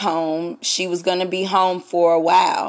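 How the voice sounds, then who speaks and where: With a Southern US accent, a woman talks at a very slow pace in a medium pitch. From US South. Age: 30s. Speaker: radio host. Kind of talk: solo podcast monologue. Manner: casual, halting with fillers.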